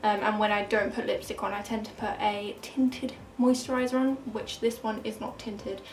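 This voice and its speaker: A woman speaks at a fairly high pitch with hardly any pauses, amid noticeable background noise and audible room echo. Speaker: beauty vlogger. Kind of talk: casual product review. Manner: fast.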